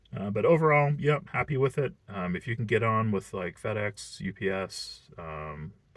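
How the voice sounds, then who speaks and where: At a moderate pace, a man speaks with hardly any pauses. His voice sits at medium pitch but swings very widely. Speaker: delivery driver reviewing a seasonal job. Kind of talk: casual vlog talk to camera. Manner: casual with many fillers.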